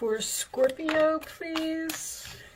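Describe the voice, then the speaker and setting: Loud speech comes through over noticeable background noise. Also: woman. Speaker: tarot reader. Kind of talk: tarot reading. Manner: trying to speak loud; casual.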